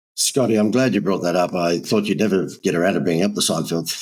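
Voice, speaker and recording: Talking very fast, a man speaks with an Australian accent. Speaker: marketing agency owner. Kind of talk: podcast interview. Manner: animated.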